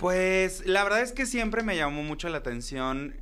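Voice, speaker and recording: A man talks at a high pitch, his tone bright and sharp. His intonation is lively, and the room echo is audible. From Acapulco, Guerrero, Mexico. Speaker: drag queen. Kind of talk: casual chat.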